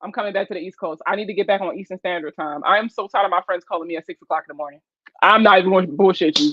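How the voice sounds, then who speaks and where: Talking at a very fast pace in a Baltimore accent, a woman has an animated tone, medium pitch and ordinary pitch variation. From West Baltimore, Maryland. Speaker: personal finance livestreamer. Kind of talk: casual livestream chat. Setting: live stream.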